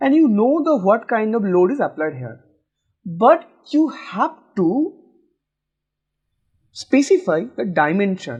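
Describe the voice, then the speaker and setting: The voice moves at a very slow pace with long, frequent pauses and very wide pitch swings. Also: man, high pitch for a man. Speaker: civil engineering teacher. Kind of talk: tutorial lecture.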